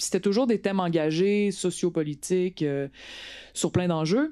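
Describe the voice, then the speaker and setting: With a Quebec accent, a woman talks at a fairly slow pace in a dark, mellow tone, her fairly low pitch showing ordinary variation. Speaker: politician and actress. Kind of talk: talk to an audience.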